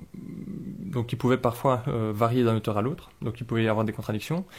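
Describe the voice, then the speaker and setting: On a very clean recording with a silent background, a somewhat breathy man talks at a moderate pace with ordinary pitch variation. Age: 30s. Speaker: engineer, convert to Islam. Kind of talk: interview testimony. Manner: halting, many hesitations and repetitions.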